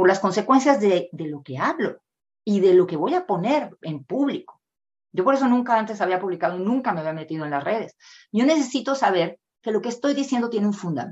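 Against a quiet background, a woman speaks at a fairly quick pace and medium pitch with very wide pitch swings. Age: 50s. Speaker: author and reading educator. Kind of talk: interview.

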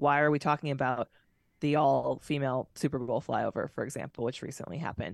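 With vocal fry and a very deep, low pitch, a woman speaks fairly quickly and with fairly even intonation, the sound dry and close with no echo against a quiet background. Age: 30s. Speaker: former fighter pilot turned motivational speaker. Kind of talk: casual interview.

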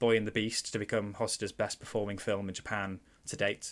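Spoken in a Mancunian accent, the clip is very clean, with a silent background. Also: man. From Manchester, England. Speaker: film podcast host. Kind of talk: casual film discussion.

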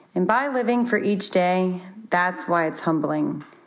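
Audible room echo surrounds a woman speaking at a fairly slow pace in a medium pitch with ordinary pitch variation. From Louisiana, Baton Rouge. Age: 20s. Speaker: landscape architect. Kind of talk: recorded personal testimony.

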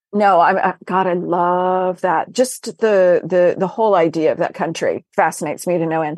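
A woman speaks in a normal speaking voice at a medium pitch, with fairly even intonation over a quiet background. Her pace is moderate, with hardly any pauses. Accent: American. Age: 50s. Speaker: novelist. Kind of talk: casual chat.

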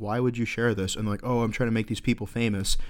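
A man speaks with an American accent in a flat, monotone intonation, recorded very cleanly against a silent background. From Florida. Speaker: podcast co-host. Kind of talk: casual banter, comedy podcast.

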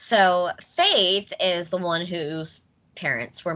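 A woman with an American accent talks in a bright, sharp tone at a medium pitch. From United States. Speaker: podcast host. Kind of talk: casual chat. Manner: animated.

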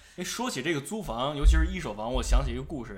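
A man speaks with vocal fry. There is audible room echo. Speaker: podcast host. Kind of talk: casual chat.

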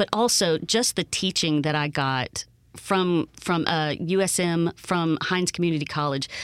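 With a Mississippi accent, a woman talks at a moderate pace in a fairly low pitch with ordinary pitch variation, very even loudness, and a dry, close sound with no echo. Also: very clean recording, silent background. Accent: Mississippi Southern. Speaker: voiceover artist, actress and puppeteer. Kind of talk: casual interview. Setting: radio studio.

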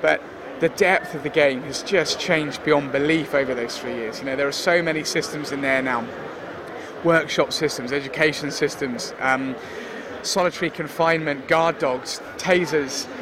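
A man talks at a moderate pace with fairly even intonation and fairly high pitch. Background noise is noticeable. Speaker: game developer. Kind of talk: interview.

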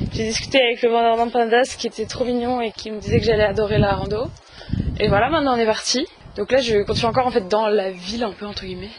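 A woman with a fairly high pitch speaks fairly quickly amid noticeable background noise. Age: 20s. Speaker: law student, travel podcaster. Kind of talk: travel vlog diary. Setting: on the go, outdoors and in transit. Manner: casual, chatty.

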